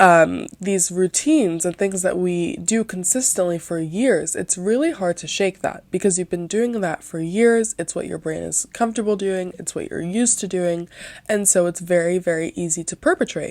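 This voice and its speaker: A soft-spoken woman at a moderate pace and medium pitch. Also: ordinary pitch variation. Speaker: podcast host. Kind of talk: casual monologue podcast. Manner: quiet.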